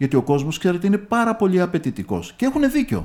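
The tone is dark and mellow, and the pitch swings very widely. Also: man. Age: 60s. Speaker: local politician. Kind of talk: radio interview. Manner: hesitant, frequent filler sounds.

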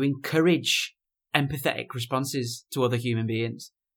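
Here a man speaks with a British accent at a moderate pace. The recording is very clean, with a silent background. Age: 20s. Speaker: musician, DJ and stand-up comedian. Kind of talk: casual chat.

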